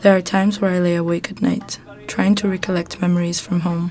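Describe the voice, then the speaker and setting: Music plays in the background as a woman speaks at a moderate pace and fairly low pitch with monotone, flat intonation. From Morocco. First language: multilingual: English, French, Arabic, Amazigh. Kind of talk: spoken word poetry.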